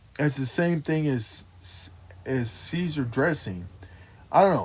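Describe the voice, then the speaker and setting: With an American accent, a man talks in a somewhat breathy voice at a fairly high pitch. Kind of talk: casual vlog monologue. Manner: slurred speech.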